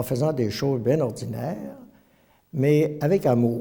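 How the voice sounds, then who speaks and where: There is audible room echo as a man talks, his pitch moving in a normal way. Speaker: retired priest. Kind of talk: testimony. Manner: halting, many hesitations.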